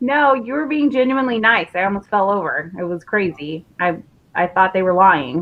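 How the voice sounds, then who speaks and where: Her pitch sits in the medium range, and this woman's voice swings very widely up and down. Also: moderate pace. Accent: American. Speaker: interview show host. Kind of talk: casual interview chat.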